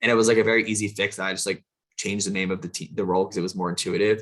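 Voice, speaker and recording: His intonation is fairly even. The man's pitch sits fairly low. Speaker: recruiter. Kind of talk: webinar presentation. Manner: fast.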